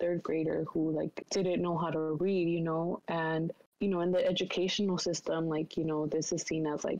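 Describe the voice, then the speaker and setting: This woman has a Spanish accent and a fairly low pitch. She talks at a moderate pace with monotone, flat intonation. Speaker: college student. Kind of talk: casual discussion. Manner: many fillers, hesitant.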